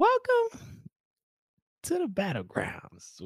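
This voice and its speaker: Putting on a character voice, a man talks with an extremely high pitch. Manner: funny exaggerated host voice.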